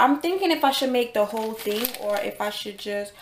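Over light background noise and with audible room echo, a woman speaks at a very fast pace. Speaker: home cook vlogger. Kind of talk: casual vlog chat. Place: kitchen. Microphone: phone near.

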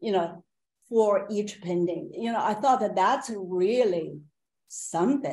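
A woman with a Chinese accent, fairly slow, with lively intonation. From China. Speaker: painter; panelist. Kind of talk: panel discussion. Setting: video call. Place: home room. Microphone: video call.

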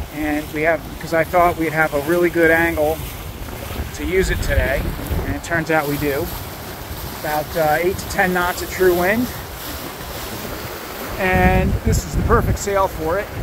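A man speaks with long, frequent pauses in a dry sound with no echo, with noticeable background noise behind him. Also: moderate pace. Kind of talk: casual vlog chat. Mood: relaxed, content. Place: boat. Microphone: phone near.

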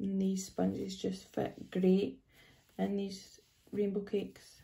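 The speaker talks at a very slow pace in a Scottish accent. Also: woman. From Scotland. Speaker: face painter. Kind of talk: casual product demo talk to camera. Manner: upbeat, enthusiastic. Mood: cheerful, enthusiastic. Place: home room. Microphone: phone near.

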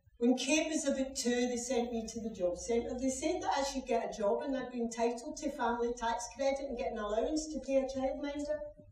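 A high-pitched woman at a fairly quick pace, hardly any pauses, ordinary pitch variation, audible room echo and light background noise. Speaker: actor playing a young mother in a drama. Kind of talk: dramatic monologue, acted performance. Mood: sombre, confessional. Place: stage. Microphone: camera far.

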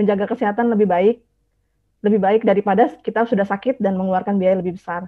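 The woman's intonation is fairly even. Behind her, the background is quiet. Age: 40s. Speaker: nurse. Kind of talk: testimony. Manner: halting, frequent uh fillers. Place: home room. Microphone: earbuds.

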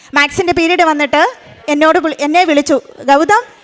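Background noise is noticeable. The pitch varies in an ordinary way. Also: woman. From Kerala, Idukki district. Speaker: school employee giving testimony. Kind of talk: testimony. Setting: church altar before congregation.

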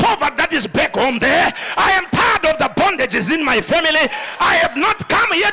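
A man shouts in an animated tone, with very wide pitch swings. His pace is moderate, with light background noise. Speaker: preacher. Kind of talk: sermon. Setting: church with congregation. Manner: animated, rousing call-and-response preaching; emphatic, declaring prophecies and blessings. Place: church. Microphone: handheld.

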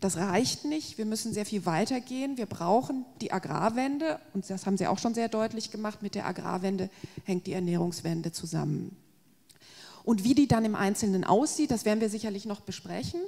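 At a moderate pace, a woman speaks over a quiet background. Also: lively intonation. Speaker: agricultural policy expert; guest. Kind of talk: panel discussion. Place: hall. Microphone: handheld.

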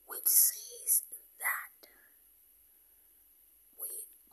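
Whispering at a very slow pace, the voice has a gentle tone. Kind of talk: ASMR-style whispered talk to camera with positive affirmations and religious reflection. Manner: whispered, gentle.

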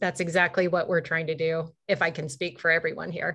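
Against a quiet background, a woman speaks at a moderate pace. Her pitch is fairly low and her tone bright and sharp. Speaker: webinar co-host. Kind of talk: moderated panel discussion. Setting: video call from home. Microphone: video call.

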